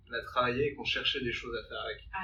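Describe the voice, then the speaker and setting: A man is speaking. The room echo is audible. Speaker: rock band member. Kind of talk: interview conversation.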